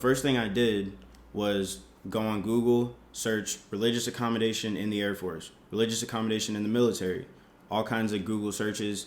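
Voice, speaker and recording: The man's voice is fairly low, with fairly even intonation. He moves at a fairly quick pace amid audible room echo. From US South, Georgia, raised in Jamaican household. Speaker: Air Force member, vlogger. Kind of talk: casual vlog explanation. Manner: casual, conversational.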